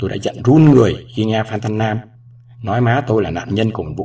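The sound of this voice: The text is read out. It comes in an unforced reading voice.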